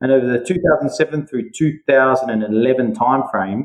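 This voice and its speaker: With an Australian accent, a man speaks at a fairly quick pace and medium pitch, his pitch varying in an ordinary way. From Western Australia (Perth). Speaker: mining and metals entrepreneur. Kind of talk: podcast interview.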